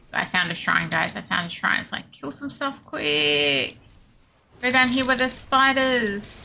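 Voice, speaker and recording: A woman speaks in a bright, sharp, high-pitched voice with an Australian accent. Her pitch swings very widely, and her pace is fairly slow. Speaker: video game streamer. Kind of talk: live gameplay stream chat. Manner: casual, chatty.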